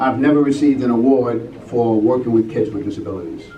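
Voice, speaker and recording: A man with an American accent and medium pitch talks at a fairly quick pace amid noticeable background noise and audible room echo. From California. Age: 60s. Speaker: martial arts teacher. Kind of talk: award acceptance speech. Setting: banquet stage with audience.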